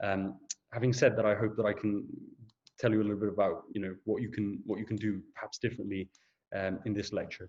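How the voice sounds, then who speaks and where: At a very fast pace, a man speaks in a fairly low pitch with monotone, flat intonation. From Portugal. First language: Portuguese. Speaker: junior doctor. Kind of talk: lecture. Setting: video call. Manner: hesitant, frequent fillers and repeats.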